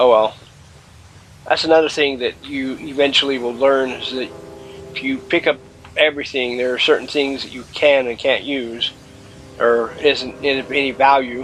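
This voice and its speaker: Music plays behind a man speaking with monotone, flat intonation. His loudness swings widely, and he leaves long, frequent pauses. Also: medium pitch for a man, moderate pace. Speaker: gaming YouTuber. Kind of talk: let's play commentary. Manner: casual, hesitant fillers.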